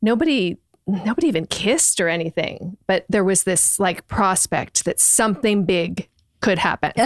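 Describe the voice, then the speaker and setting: A woman speaks in a normal speaking voice at medium pitch and a moderate pace, with ordinary pitch variation. The loudness is very even, and the sound is dry and close with no echo. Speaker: book club friend. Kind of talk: casual chat.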